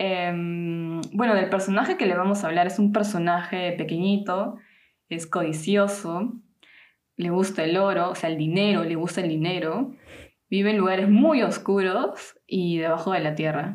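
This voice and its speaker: A plain, everyday voice from a woman: mid-range pitch, moderate speed, fairly level intonation. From Peru. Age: 20s. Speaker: podcast host. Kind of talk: casual chat.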